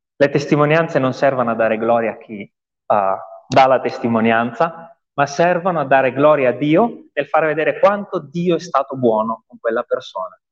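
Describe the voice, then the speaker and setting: A man with a normal speaking voice and medium pitch speaks fairly slowly, his intonation lively. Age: 30s. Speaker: pastor. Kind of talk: testimony. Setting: church.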